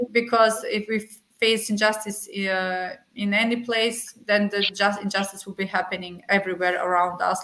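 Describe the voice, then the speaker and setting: A woman speaks at a moderate pace with a monotone, flat intonation. Noticeable background noise runs underneath. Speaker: refugee rights advocate. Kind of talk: panel talk. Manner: halting.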